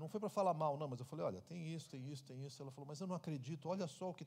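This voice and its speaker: The voice has a dark, mellow tone and sounds somewhat breathy. Its pitch varies in an ordinary way. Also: man. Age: 60s. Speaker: pastor. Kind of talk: Q&A answer at church conference.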